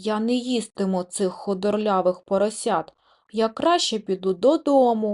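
Putting on a growling character voice, a woman with a fairly high pitch speaks at a moderate pace. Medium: read story. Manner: menacing.

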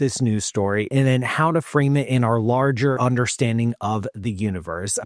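Lively intonation and a moderate pace come through in a dry recording with no echo and a quiet background. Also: man. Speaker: cosmologist host. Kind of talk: commentary. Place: home room. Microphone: studio mic.

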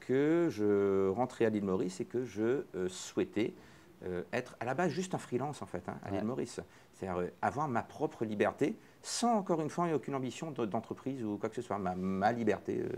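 On a very clean recording with a silent background, a man with a medium pitch and a dark, mellow tone speaks at a moderate pace with very wide pitch swings. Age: 40s. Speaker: fintech entrepreneur. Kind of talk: interview.

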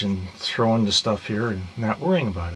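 A man's fairly low voice at a moderate pace, fairly even in intonation, over light background noise. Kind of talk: casual tour narration. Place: boat. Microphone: phone near.

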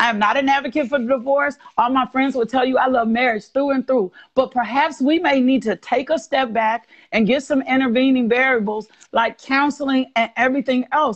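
A woman with an American accent speaks at a high pitch, her loudness very even and her intonation fairly even. The background is quiet. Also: moderate pace. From US South. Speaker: guest speaker on faith and healing; guest. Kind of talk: faith talk on a livestream. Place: home room. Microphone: earbuds.

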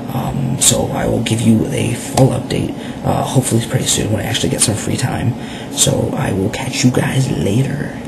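Loud background noise fills the clip. A man talks over it at a moderate pace. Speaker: vlogger. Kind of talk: casual talk to camera. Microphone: webcam.

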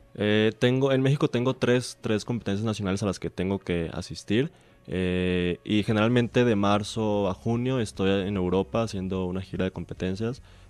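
Against a quiet background, a man with an ordinary speaking voice talks at a fairly low pitch with ordinary pitch variation. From Mexico, Hermosillo (Sonora). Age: 20s. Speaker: speed skater, world champion athlete. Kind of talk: radio interview.

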